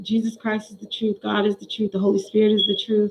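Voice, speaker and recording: A woman talks in a fairly high voice. It is somewhat breathy. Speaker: vlogger describing being targeted. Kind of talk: casual personal monologue, testimony. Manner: rambling, halting with fillers.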